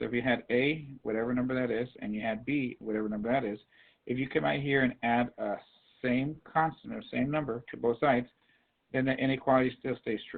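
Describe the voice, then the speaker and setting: Pitch varies in an ordinary way as the voice moves at a fairly quick pace. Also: man. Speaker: math teacher. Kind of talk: classroom lecture. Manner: fast.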